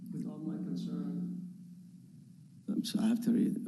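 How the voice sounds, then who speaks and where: There is noticeable background noise and audible room echo. Through it, a man talks at a moderate pace. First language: not English. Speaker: property owner applicant. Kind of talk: public hearing testimony. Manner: halting.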